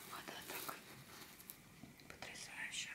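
A woman talks at a very slow pace. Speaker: ASMR artist. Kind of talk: ASMR show-and-tell. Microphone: studio mic.

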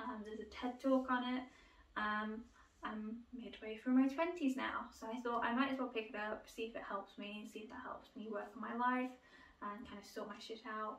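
In a room with audible echo, a woman with a British accent speaks at a moderate pace in a fairly high pitch, her intonation fairly even but her loudness swinging widely. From UK. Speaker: book YouTuber. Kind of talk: casual video monologue, book haul. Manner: hesitant, many fillers. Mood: relaxed, chatty. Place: home room. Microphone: camera far.

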